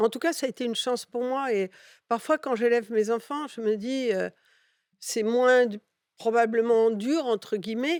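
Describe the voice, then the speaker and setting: On a very clean recording with a silent background, a woman speaks dry and close with no echo. Her fairly high voice moves at a fairly slow pace with ordinary pitch variation. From Catalonia, Spain (raised in France from childhood). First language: Catalan (speaking French). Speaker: advertising executive. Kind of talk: interview.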